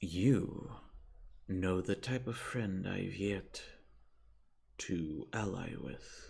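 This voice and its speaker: A man uses a put-on character voice with a fairly low pitch. He speaks very slowly, leaving long, frequent pauses. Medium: actual play. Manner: calm, neutral, slow and measured.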